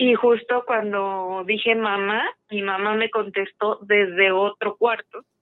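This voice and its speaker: A woman at medium pitch, very slow, with monotone, flat intonation. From Mexico, Aguascalientes. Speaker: caller. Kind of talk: telling a personal ghost story.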